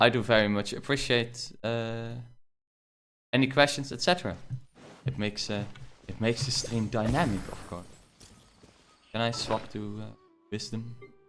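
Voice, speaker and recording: With a strong Dutch accent, a man talks at a moderate pace in a medium-pitched voice with ordinary pitch variation and big swings in loudness. His speech has long, frequent pauses, and music plays in the background. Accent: thick Dutch. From Netherlands. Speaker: gaming streamer. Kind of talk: live gameplay stream chat. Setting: live stream. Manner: many filler words (uh, um).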